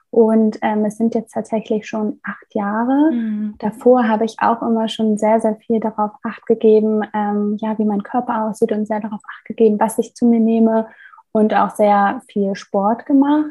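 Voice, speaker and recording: A woman with a fairly high, somewhat breathy voice speaks at a fairly slow pace with hardly any pauses. Her intonation is monotone and flat. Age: 20s. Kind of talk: interview.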